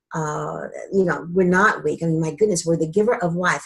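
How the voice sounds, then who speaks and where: This woman's voice sits fairly low in pitch and sounds somewhat breathy. She talks at a fairly quick pace. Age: 60s. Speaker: wellness coach. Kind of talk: interview. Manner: conversational, with frequent fillers.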